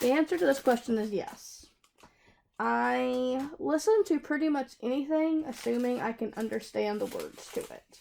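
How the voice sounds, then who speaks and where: Her tone is dark and mellow, though her pitch sits high. The woman speaks at a moderate pace with a Southern US accent. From US South, South Carolina. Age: 20s. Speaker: craft hobby youtuber. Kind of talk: casual Q&A chat while crafting. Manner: chatty, hesitant with fillers.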